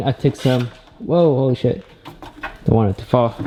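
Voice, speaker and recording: In a normal speaking voice, a man at medium pitch talks at a moderate pace with ordinary pitch variation. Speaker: car enthusiast YouTuber. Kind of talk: casual vlog. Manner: casual.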